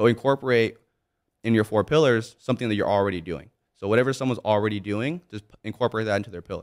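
Someone with a Californian accent speaks at a very fast pace with ordinary pitch variation. The recording is very clean with a silent background. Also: man, medium pitch for a man. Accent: Californian American. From Southern California (Monrovia, near Pasadena). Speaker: entrepreneur and personal brand influencer. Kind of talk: casual interview. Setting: studio.

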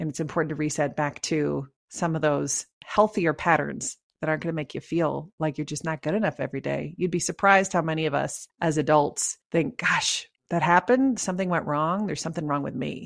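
Talking at a fairly quick pace with hardly any pauses, a woman with a slight Canadian accent uses a very deep, low pitch, vocal fry and ordinary pitch variation, on a very clean recording with a silent background and a dry, close sound with no echo. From Canada. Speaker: leadership coach and author. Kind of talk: interview.

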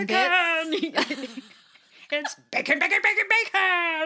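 Using a put-on character voice at an extremely high pitch, the speaker moves at a very slow pace. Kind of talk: commercial jingle. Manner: excited, barking.

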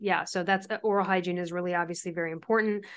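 A woman at a medium pitch and fairly quick pace, an ordinary speaking voice with fairly even intonation, against a quiet background. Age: 40s. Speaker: author and thyroid health expert. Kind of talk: interview.

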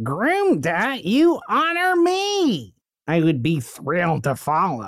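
A man at a high pitch, speaking at a very slow pace. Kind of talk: comic improv. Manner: warm, effusive, grateful.

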